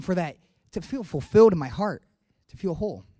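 This man's voice has a dark, mellow tone. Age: 20s. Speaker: air force officer giving church testimony. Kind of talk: testimony. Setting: church stage with congregation.

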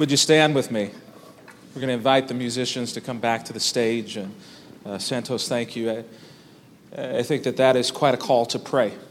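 There is noticeable background noise behind a voice that moves at a moderate pace with fairly even intonation. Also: man, medium pitch for a man. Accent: American. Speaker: pastor. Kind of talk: sermon. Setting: church.

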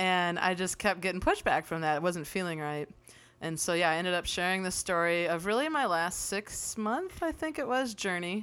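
On a very clean recording with a silent background, a woman with a normal speaking voice talks at a moderate pace, at a medium pitch with ordinary pitch variation. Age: 30s. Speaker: church member, civil engineering drafter. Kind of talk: casual chat.

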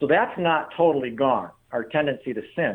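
At a moderate pace, a man talks with a fairly high pitch. His pitch variation is ordinary. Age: 60s. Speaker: pastor. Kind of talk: interview.

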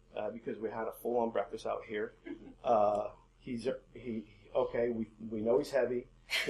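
An unforced reading voice carries the whole clip.

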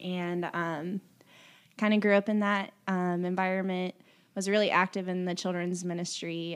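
A woman speaks in an unremarkable speaking voice with an American accent, at medium pitch and a moderate pace. Her intonation is fairly even, on a very clean recording with a silent background. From Indiana, US Midwest (born Kentucky). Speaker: kindergarten teacher, worship team singer. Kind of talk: testimony.

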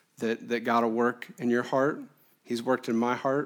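A man's medium-pitched voice with an American accent, monotone and flat in intonation, at a moderate pace on a very clean recording with a silent background. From US Midwest, Quad Cities, Illinois. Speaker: guest preacher. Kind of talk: sermon.

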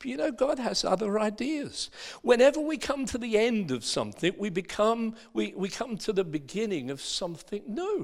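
A man with an Essex accent speaks at a high pitch with very wide pitch swings. He keeps a moderate pace with hardly any pauses. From Essex, England. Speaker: pastor. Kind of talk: sermon.

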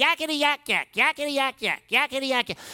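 This is a put-on character voice, high in pitch. It rushes along at a very fast pace. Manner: hollering, loud.

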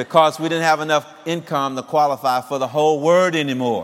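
This is an ordinary speaking voice. The man's pitch is fairly high. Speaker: former fire chief. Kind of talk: testimony. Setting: church.

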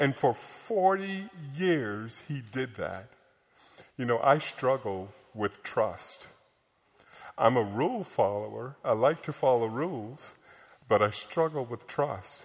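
A man with an American accent speaks at a medium pitch and a very slow pace, leaving long, frequent pauses. The recording is very clean with a silent background. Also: lively intonation. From upstate New York. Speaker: visiting pastor. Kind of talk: sermon. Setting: church.

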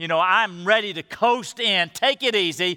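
A man with a high pitch and a bright, sharp tone speaks in a raised, projected voice at a moderate pace, with ordinary pitch variation. The recording is very clean, dry and close, with no echo and a silent background. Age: 60s. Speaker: pastor. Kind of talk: sermon. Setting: church service.

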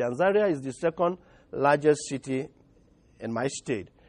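A man with a Nigerian accent speaks at a moderate pace, fairly high in pitch and with lively intonation. The sound is dry and close with no echo, over a quiet background. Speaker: pastor. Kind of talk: sermon. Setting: church.

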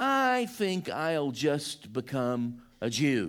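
This man talks with a Southern US accent at a fairly high pitch, his pitch swinging very widely. The recording is very clean, with a silent background. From US Deep South, Georgia. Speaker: visiting pastor. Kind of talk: sermon. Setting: church.

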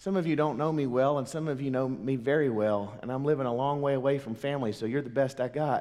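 A man with a Southern US accent talks at a very fast pace with hardly any pauses. His medium-pitched voice is dark and mellow, his intonation fairly even, and the room echo audible. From US South, Mississippi. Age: 40s. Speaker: pastor. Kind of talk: sermon. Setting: church.

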